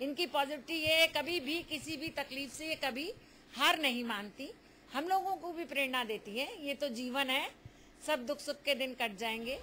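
Raising and projecting her voice, a woman speaks at a fairly slow pace in a high pitch with ordinary pitch variation and a bright, sharp tone over light background noise. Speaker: family member of the elderly woman. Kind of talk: interview answer. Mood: warm, proud, smiling. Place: home room. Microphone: handheld.

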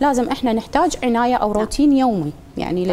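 At a fairly quick pace, a woman speaks over light background noise. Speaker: guest. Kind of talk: interview answer. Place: studio. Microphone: lapel.

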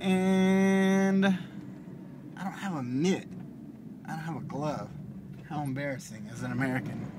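A man talks at a fairly slow pace with a fairly high pitch and ordinary pitch variation. There is noticeable background noise. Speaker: vlogger. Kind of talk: casual vlog monologue while driving. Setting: in a car. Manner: mumbles. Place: car. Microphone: phone near.

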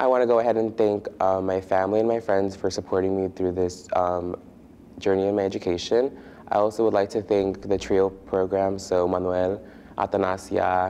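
Against light background noise, a man speaks at a moderate pace in a fairly low, dark, mellow voice with flat, monotone intonation and very even loudness. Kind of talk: recorded thank-you message. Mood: grateful, a little nervous. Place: studio.

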